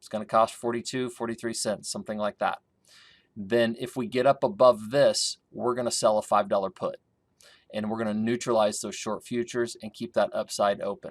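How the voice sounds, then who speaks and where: A man's plain, everyday voice at medium pitch, fairly quick in pace, with ordinary pitch variation and big swings in loudness, in a very clean, dry, close recording with a silent background and no echo. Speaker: grain market consultant. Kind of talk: market analysis tutorial. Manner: casual with fillers.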